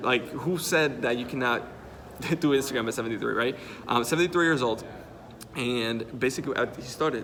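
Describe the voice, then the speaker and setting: In a Spanish accent, a man with a medium pitch and ordinary pitch variation speaks in an animated tone at a fairly quick pace, with long, frequent pauses, audible room echo and noticeable background noise. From Dominican Republic. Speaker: Instagram marketing coach. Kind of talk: casual interview. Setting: at a marketing conference.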